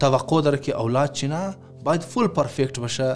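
A man talks at a moderate pace while faint music sits in the background. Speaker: speaker. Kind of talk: sermon-style advice talk. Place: home room.

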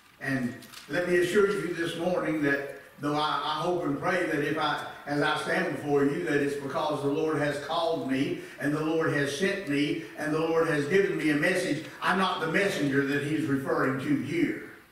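A man at a moderate pace, with strong room echo. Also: fairly even intonation. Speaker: church elder preaching. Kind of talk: sermon. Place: church.

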